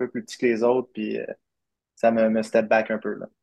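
Fairly quick and monotone, a man at a medium pitch speaks with flat intonation, the sound dry and close with no echo. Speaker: professional baseball player. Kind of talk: interview.

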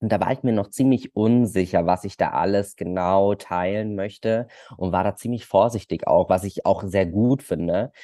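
In a dry, close recording with no echo and a quiet background, a man with a fairly low, dark, mellow voice speaks with ordinary pitch variation. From Germany, Munich. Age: 20s. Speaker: social media creator. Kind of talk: casual interview.

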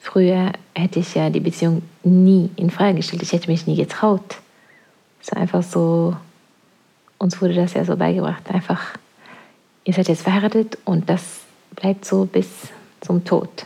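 Fairly low in pitch, a woman talks at a moderate pace in a monotone, flat intonation, leaving long, frequent pauses. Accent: Norwegian. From Norway. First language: Norwegian (speaking German). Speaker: podcast co-host, parent. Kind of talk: casual chat.

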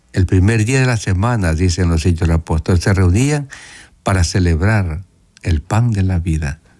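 A man's very deep, low voice, dark and mellow in tone, at a moderate pace with ordinary pitch variation and very even loudness. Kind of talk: radio catechesis talk with call-in. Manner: soft-spoken.

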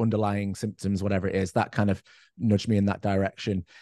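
In a northwest English accent, a man with a fairly low pitch and a dark, mellow tone speaks at a very fast pace with monotone, flat intonation against a quiet background. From northwest England, Cheshire. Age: 30s. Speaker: person living with MS. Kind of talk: casual chat.

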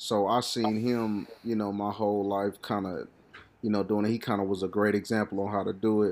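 This man talks at a fairly quick pace in a fairly low pitch, his loudness very even and his intonation monotone and flat. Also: very clean recording, silent background. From Kansas City, Missouri. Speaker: hip hop artist. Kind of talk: casual chat.

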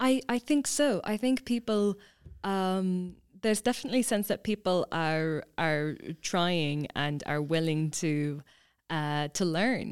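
A woman with an Irish accent speaks fairly slowly at a medium pitch with lively intonation on a very clean recording with a silent background. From Ireland, County Kilkenny. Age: 20s. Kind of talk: interview. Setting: studio.

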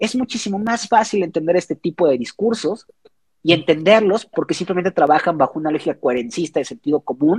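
A man speaks at a fairly quick pace in a high voice with lively intonation, the sound dry and close with no echo. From Mexico, Xalapa, Veracruz. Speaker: philosophy doctoral student and university lecturer. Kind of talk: casual interview. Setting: at home, remote call.

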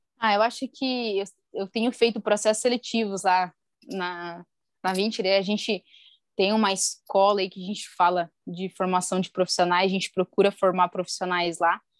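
A woman in a normal speaking voice at medium pitch and moderate pace, with fairly even intonation and a dry, close sound with no echo on a very clean recording with a silent background. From Brazil, interior of Paraná. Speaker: physiotherapist and clinic partner. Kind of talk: interview.

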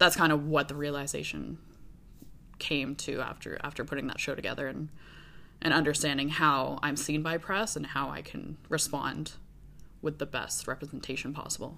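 Her very deep, low pitch carries vocal fry and a bright, sharp tone, as this woman speaks with monotone, flat intonation. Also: moderate pace. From Canada, moved around widely. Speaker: fashion designer. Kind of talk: casual interview.

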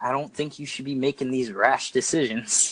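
A man with an unremarkable speaking voice, medium pitch, at a moderate pace. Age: 20s. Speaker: YouTuber and personal trainer. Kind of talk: casual interview.

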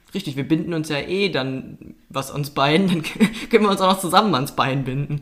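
A man with an unremarkable speaking voice and fairly high pitch talks at a moderate pace with ordinary pitch variation and hardly any pauses. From North Rhine-Westphalia, Oberbergischer Kreis. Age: 20s. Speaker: podcast co-host. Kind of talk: casual chat.

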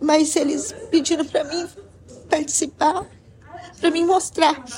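Through noticeable background noise, a woman speaks at a moderate pace. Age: 50s. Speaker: painter. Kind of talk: interview.

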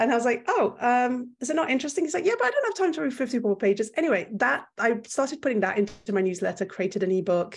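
In a French accent, the speaker talks at a very fast pace with hardly any pauses, pitch swinging very widely while loudness stays very even. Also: woman, high pitch for a woman. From Belgium. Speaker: content creator. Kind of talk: casual interview. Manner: talkative, long-winded.

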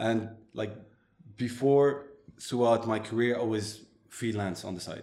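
A man speaks at a fairly slow pace with a dark, mellow tone. His intonation is fairly even, and the room echo is audible. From Morocco, then Montreal as a teenager. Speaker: digital agency owner. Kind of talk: interview. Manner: hesitant, many fillers.

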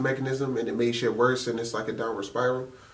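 At a moderate pace, a man talks in a flat, monotone way against noticeable background noise. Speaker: podcast co-host. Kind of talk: casual chat.

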